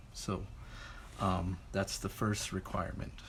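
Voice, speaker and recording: Vocal fry marks a man's speech. Audible room echo hangs around it. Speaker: art teacher. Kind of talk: lecture.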